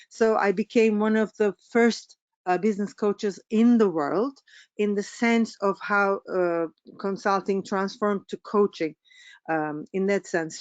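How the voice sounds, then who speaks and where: Speaking at a fairly slow pace, a woman with a Turkish accent uses medium pitch and ordinary pitch variation. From Turkey. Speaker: business coach. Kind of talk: webinar presentation. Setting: online webinar. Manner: halting, many fillers.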